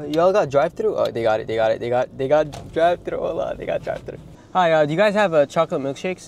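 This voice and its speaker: Over light background noise, a man speaks very fast. The sound is dry, with no echo. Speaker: YouTuber; food vlogger. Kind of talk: casual comedic vlog with humor and swearing; casual vlog chat. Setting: fast food restaurants, ordering at counter. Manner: animated, joking, casual. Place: car. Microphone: phone near.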